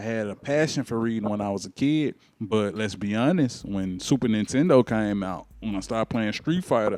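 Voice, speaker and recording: A man with a Memphis accent at medium pitch, dark and mellow in tone, lively in intonation, at a moderate pace, in a dry, close sound with no echo. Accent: Southern US, Memphis. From US South, Memphis. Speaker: talk show host. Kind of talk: interview.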